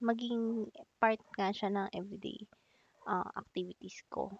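A woman of medium pitch talking at a very slow pace, the sound dry and close with no echo. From Philippines, Makati (Metro Manila). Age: 20s. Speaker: student podcaster. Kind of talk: casual solo podcast Q&A.

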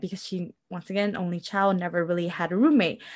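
Against a quiet background, a woman talks at a fairly quick pace and a medium pitch in an ordinary speaking voice. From Milwaukee, Wisconsin. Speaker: podcast co-host. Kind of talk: casual chat.

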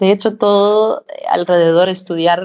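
Here a woman speaks with fairly even intonation. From Denmark, small town. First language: Danish (speaking Spanish). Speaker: fashion brand co-founder. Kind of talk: interview.

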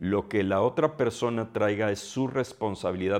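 A man speaks at a fairly low pitch and a moderate pace. The background is quiet. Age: 60s. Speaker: podcast host. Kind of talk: solo monologue. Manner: hesitant, with filler sounds.

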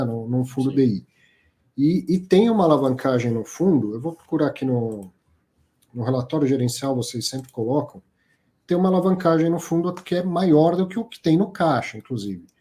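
At a fairly quick pace, a man talks with lively intonation in a dark, mellow, somewhat breathy voice. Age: 40s. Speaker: financial podcast host. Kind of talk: live show commentary and interview. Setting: live stream.

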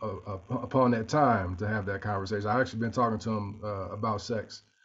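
Speaking at a fairly quick pace, a man of medium pitch uses a plain, everyday voice with fairly even intonation. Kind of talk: casual chat.

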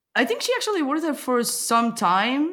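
A woman's voice moves through very wide pitch swings. The recording is very clean, with a silent background. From Portugal. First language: Portuguese. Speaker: podcast host. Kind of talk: casual interview chat. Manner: playful, joking.

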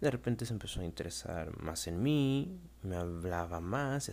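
This man has a very deep, low voice with very wide pitch swings. He speaks at a fairly slow pace. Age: 20s. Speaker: podcaster, young father. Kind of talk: personal storytelling monologue.

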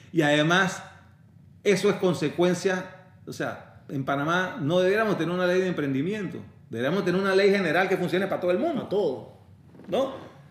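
Audible room echo surrounds a man with a high pitch. He talks at a fairly quick pace with ordinary pitch variation. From Panama. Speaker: lawyer. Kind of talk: interview conversation. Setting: office.

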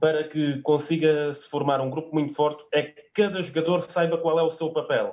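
A man's high-pitched voice. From Alentejo, southern Portugal. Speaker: sports fan commentator. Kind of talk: casual sports discussion. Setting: online video call.

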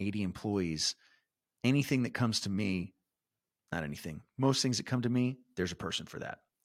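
Recorded with a dry, close sound and no echo, a man uses an ordinary speaking voice at a fairly low pitch with ordinary pitch variation. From San Antonio, Texas. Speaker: real estate investor. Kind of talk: interview.

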